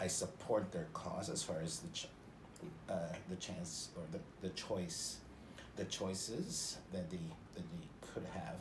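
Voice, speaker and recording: The intonation stays fairly even as a somewhat breathy voice proceeds at a fairly slow pace. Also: man. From Northern Ontario, Canada. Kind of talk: interview answer. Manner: expressive, jovial.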